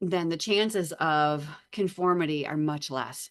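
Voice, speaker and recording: This woman has a plain, everyday voice, pitched fairly low. Her pitch varies in an ordinary way, and the background is quiet. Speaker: psychology lecturer. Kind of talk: lecture. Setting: online lecture with screen share. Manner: frequent filler words.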